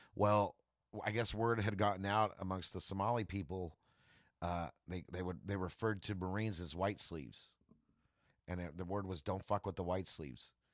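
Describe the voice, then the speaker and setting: Over a very clean recording with a silent background, a man with an American accent and a very deep, low pitch talks at a moderate pace with ordinary pitch variation. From California Central Valley. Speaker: comedian and Marine veteran. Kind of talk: casual chat. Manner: animated.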